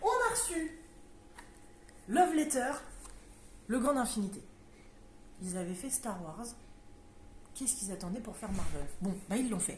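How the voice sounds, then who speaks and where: With noticeable background noise and audible room echo, a woman speaks at a moderate pace in a high pitch, her voice making very wide pitch swings and breaking into long, frequent pauses. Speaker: board game shop presenter. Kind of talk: casual product presentation. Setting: game shop.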